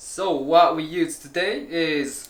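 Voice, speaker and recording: A man with a Japanese accent against noticeable background noise. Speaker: home cook. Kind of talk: casual cooking tutorial to camera.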